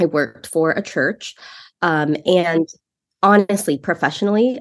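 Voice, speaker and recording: Her voice sits fairly low for a woman and moves with ordinary pitch variation. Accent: Californian. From San Francisco Bay Area. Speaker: marketing executive. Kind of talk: interview.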